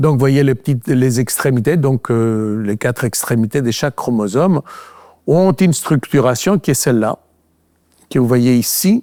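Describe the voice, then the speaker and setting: Recorded very cleanly with a silent background and a dry, close sound with no echo, a man speaks at a moderate pace in a medium pitch, his tone dark and mellow, with ordinary pitch variation and very even loudness. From Greece. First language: Greek (speaking French). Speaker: physician and researcher. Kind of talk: lecture. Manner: halting, many fillers.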